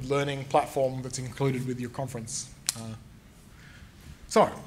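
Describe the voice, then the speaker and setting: With an Australian accent, a man talks at a fairly quick pace. His intonation is fairly even, and room echo is audible. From Tasmania, Australia. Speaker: game developer and author, conference speaker. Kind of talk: conference talk. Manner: fast.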